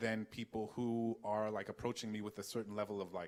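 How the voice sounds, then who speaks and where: A man's fairly low-pitched, fairly quick delivery in an ordinary speaking voice with an American accent, in a very clean recording with a silent background. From US South, New Orleans. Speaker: author and scholar. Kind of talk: Q&A at a public talk. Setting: auditorium with audience.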